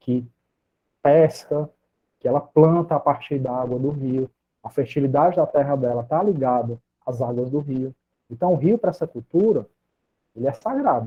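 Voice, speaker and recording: Here a man speaks at a moderate pace, with a fairly high pitch and ordinary pitch variation. He leaves long, frequent pauses. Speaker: psychologist and lecturer. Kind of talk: lecture.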